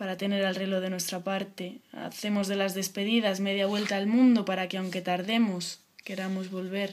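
Over light background noise, a woman speaks at a moderate pace in a monotone, flat intonation. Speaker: poet. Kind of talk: spoken word poem reading. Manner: intimate, sensual, lyrical delivery. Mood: soft, intimate. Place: home room. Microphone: webcam.

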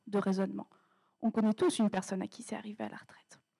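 A somewhat breathy woman's voice over a quiet background. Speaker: doctoral student contestant; candidate. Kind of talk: humorous thesis pitch. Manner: humorous, animated. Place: stage. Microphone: handheld.

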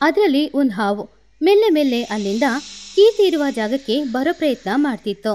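A woman with a dark, mellow tone speaks at a high pitch, her voice making big pitch swings. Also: fairly quick pace.

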